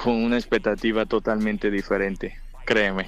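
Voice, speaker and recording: A man with a Colombian accent talks at a medium pitch. His pace is fairly slow and his intonation fairly even. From Colombia, Buenaventura, Valle del Cauca. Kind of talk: interview. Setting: phone call.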